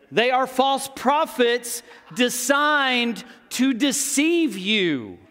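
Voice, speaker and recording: An American-accented man uses a raised, projected voice with an extremely high pitch and a bright, sharp tone. He speaks at a very slow pace with lively intonation. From Texas. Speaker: pastor. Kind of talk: sermon. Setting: church.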